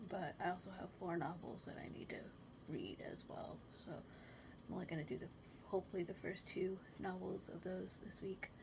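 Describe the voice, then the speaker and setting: A woman whispering at a moderate pace. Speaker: book vlogger. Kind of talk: casual vlog. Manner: talking quietly.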